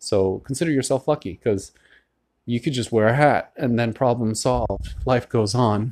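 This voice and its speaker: A man's plain, everyday voice at medium pitch, with ordinary pitch variation, very even loudness and a moderate pace, on a very clean recording with a silent background. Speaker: podcast host. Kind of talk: solo monologue. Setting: at home by a window. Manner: casual, conversational with fillers.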